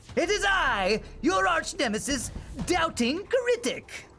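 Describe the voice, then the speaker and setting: A put-on character voice, theatrical and extremely high, with very wide pitch swings at a fairly slow pace over clear background noise. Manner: theatrical, villainous.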